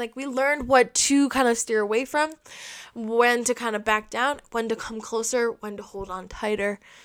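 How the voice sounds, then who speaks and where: At a moderate pace, the voice sounds animated, with big swings in loudness. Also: woman, fairly high pitch for a woman. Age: 20s. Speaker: podcast host. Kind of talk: casual monologue.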